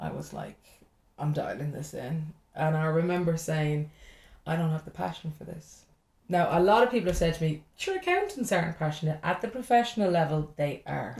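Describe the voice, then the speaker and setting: Somewhat breathy and fairly low in pitch, a woman talks at a fairly quick pace with ordinary pitch variation and big swings in loudness. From Ireland. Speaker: stand-up comedian. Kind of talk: podcast interview answer. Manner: lively, chatty.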